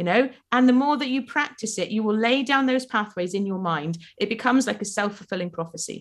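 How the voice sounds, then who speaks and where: Talking at a very fast pace in a South Welsh accent, a woman sounds animated, her fairly high voice swinging very widely in pitch. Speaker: life coach. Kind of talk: casual interview.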